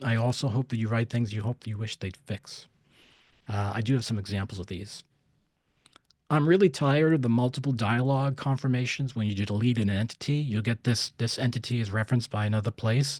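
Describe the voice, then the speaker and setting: A man with a somewhat breathy, medium-pitched voice speaks at a fairly quick pace with ordinary pitch variation, in a dry, close recording with no echo that is very clean against a silent background. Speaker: CAD software consultant and user group organizer. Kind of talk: technical presentation. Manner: fast.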